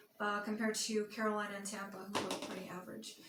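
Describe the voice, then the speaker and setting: The speech comes at a moderate pace in a flat, monotone delivery. There is audible room echo. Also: woman. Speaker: sports vlogger. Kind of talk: casual monologue. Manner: hesitant with fillers.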